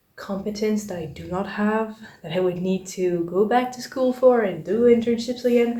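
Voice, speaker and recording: A woman with a French accent speaks at a moderate pace, her medium-pitched voice fairly even in intonation. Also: big swings in loudness. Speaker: vlogger. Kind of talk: casual vlog chat. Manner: casual, conversational.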